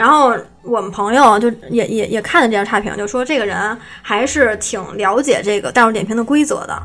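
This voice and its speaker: A woman with a plain, everyday voice talks at a fairly quick pace, her fairly high pitch showing ordinary variation. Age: young. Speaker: script-murder game shop owner. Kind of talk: casual interview chat.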